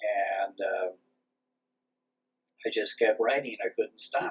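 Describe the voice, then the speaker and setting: A man is speaking. His pace is very slow. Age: 70s. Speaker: pagan priest and author. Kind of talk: interview. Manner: halting, many fillers.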